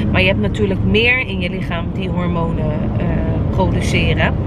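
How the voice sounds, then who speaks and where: A woman's voice at a moderate pace, dry with no echo, over loud background noise. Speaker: vlogger. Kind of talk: casual vlog chat. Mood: calm, explanatory, upbeat. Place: car. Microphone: phone near.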